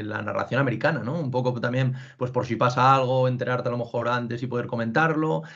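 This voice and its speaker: The voice belongs to a man. It has a medium pitch. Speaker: podcast host. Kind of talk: interview. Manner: halting.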